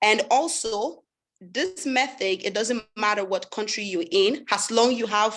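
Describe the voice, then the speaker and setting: A woman speaks in a French accent. Her pitch is fairly high. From Sweden, raised partly in West Africa (Liberia, Ivory Coast). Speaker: webinar host. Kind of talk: sales pitch webinar.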